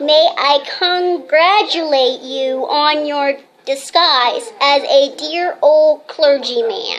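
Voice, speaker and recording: A woman puts on a high-pitched character voice at a very slow pace. She leaves hardly any pauses. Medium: stage play.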